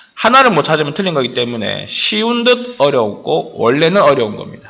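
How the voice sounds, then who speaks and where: The voice swings very widely in pitch, with audible room echo and noticeable background noise. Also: man. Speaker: math teacher. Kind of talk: lecture.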